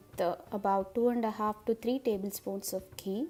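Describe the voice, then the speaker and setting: A woman with a Tamil accent speaks in a fairly high pitch with a dark, mellow tone. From Madurai, Tamil Nadu, India; Tamil Nadu. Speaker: cooking vlogger. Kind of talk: cooking tutorial. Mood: cheerful, warm.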